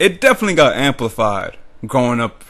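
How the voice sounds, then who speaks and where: Lively intonation and an animated tone carry this speech, delivered with an American accent. The pace is moderate. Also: man. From US South, New Orleans. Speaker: YouTuber. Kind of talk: casual vlog monologue. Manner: animated, goofy.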